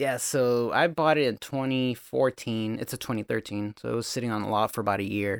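A man speaks at a medium pitch with ordinary variation, at a fairly quick pace and with hardly any pauses. The sound is dry and close, with no echo. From California, US. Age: 30s. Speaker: car builder and brand co-founder. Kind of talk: casual chat.

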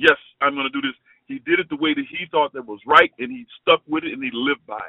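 Speaking at a very fast pace, a man with a fairly high pitch makes big swings in loudness. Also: ordinary pitch variation. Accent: American. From Chicago. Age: 50s. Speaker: former college basketball player. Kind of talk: interview.

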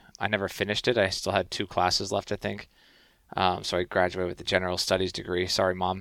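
On a very clean recording with a silent background, a man talks at a very fast pace. His very deep, low voice stays monotone and flat. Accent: Canadian. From Canada. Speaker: professional hockey player. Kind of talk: casual interview.

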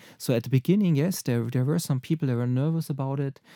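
In a German accent, the voice has a dark, mellow tone and ordinary pitch variation, recorded dry and close with no echo on a very clean, silent background. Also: man. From German-speaking Europe. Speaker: marketing executive. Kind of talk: interview. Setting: studio. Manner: halting.

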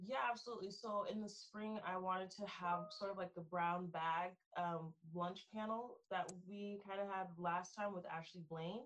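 At a moderate pace, a woman with an ordinary speaking voice talks at medium pitch with fairly even intonation. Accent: American. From Texas, Frisco. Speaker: philosophy student. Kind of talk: interview.

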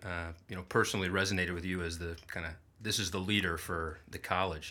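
A bright, sharp tone at a moderate pace. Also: man, very clean recording, silent background. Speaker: podcast host. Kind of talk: interview conversation. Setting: studio.

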